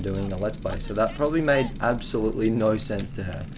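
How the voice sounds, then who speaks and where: Fairly low pitch from a man, ordinary variation, a fairly quick pace and audible room echo. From Australia. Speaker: video game commentator. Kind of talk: gameplay commentary. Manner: casual, rambling with fillers.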